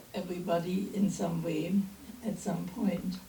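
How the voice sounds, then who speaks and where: A woman with a German accent, very slow in pace, with audible room echo. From East Germany. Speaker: minister. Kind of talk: sermon. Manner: halting.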